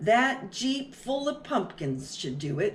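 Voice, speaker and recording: This put-on character voice moves at a fairly slow pace. Its pitch swings very widely. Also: woman. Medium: read story. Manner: plain, laid-back.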